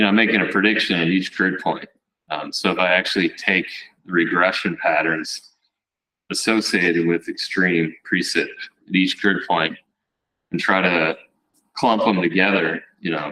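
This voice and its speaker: A man with a very deep, low pitch and a bright, sharp tone speaks at a moderate pace with fairly even intonation and long, frequent pauses. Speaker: scientist presenting research. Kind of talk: conference talk.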